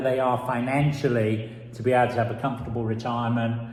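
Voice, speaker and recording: Over noticeable background noise and audible room echo, a man with a London accent talks at a very fast pace. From London, England. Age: old. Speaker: business mentor. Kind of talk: personal introduction.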